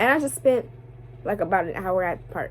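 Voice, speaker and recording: A woman speaks loudly, her pitch swinging very widely. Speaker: vlogger. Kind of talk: emotional vlog rant. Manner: passionate.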